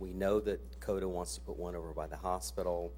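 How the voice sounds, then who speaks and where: Over music in the background, a man with an American accent talks at a fairly quick pace in a very deep, low voice with lively intonation and audible room echo. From central Ohio, US Midwest. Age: 60s. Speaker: resident speaking at public comment. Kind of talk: public comment at a council meeting. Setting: city council meeting.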